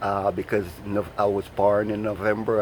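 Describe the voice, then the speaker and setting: With a Jamaican accent, a man speaks at a moderate pace in a fairly low pitch over noticeable background noise. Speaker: vlogger. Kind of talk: casual monologue vlog. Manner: halting, many repetitions.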